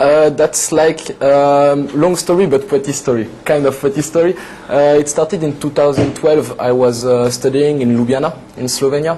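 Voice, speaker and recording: A man's fairly high voice with a French accent, fairly even intonation and a moderate pace, over noticeable background noise. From western France, Atlantic coast. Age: 20s. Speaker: TV show guest, French expat. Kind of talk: casual interview chat. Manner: halting, many fillers.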